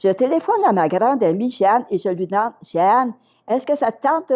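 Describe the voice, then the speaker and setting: A woman with a Quebec accent, dark, mellow tone and very wide pitch swings, on a very clean recording with a silent background. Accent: Québécois. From Quebec, Outaouais region. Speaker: retired schoolteacher. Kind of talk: interview storytelling.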